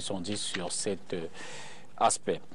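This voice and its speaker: With an unremarkable speaking voice, a man talks at a fairly slow pace and fairly even intonation over light background noise. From Cameroon. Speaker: TV debate host. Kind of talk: televised political debate. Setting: TV studio. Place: studio. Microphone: lapel.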